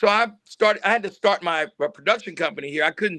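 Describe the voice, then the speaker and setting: In a raised, projected voice, a man talks at a fairly quick pace with a high pitch and a bright, sharp tone, the sound dry and close with no echo. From Tennessee, Knoxville. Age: 60s. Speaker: actor and film producer. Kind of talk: interview.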